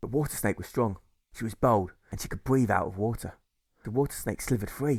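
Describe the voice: At a fairly quick pace, a man talks with fairly low pitch, ordinary pitch variation, a slightly husky edge and vocal fry.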